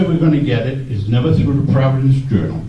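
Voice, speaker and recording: Through audible room echo and noticeable background noise, a man with a fairly high voice talks fairly quickly with ordinary pitch variation. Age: 70s. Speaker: audience member and letter writer. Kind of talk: public forum audience question.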